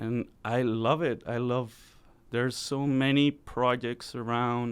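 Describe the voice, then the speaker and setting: A man speaks in a flat monotone. The background is quiet. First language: Spanish. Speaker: musician. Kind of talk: radio interview. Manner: casual, halting with many fillers.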